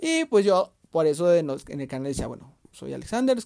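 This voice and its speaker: A man speaks at a high pitch with very wide pitch swings, the sound dry and close with no echo. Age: 20s. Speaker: podcast host and youtuber. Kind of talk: casual monologue. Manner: halting.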